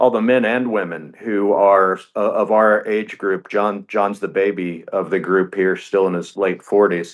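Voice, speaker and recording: In an ordinary speaking voice, a man speaks at a fairly slow pace with hardly any pauses and fairly even intonation over a quiet background. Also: fairly low pitch for a man. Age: 60s. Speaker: racing team co-founder and business executive. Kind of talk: radio interview.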